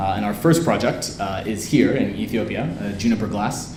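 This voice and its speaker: A man's fairly brisk American-accented speech, with the room's echo audible. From US West Coast, San Francisco. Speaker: entrepreneur. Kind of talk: interview at live event. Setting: event with audience.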